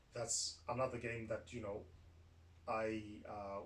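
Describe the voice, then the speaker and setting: A man's medium-pitched voice comes through with noticeable background noise. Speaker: podcast host. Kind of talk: casual chat. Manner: loud; halting.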